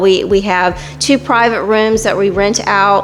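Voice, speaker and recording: A woman speaks with an American accent and fairly even intonation. Noticeable background noise sits behind her. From Fayetteville, North Carolina, US South. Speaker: tap house owner. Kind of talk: interview. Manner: halting.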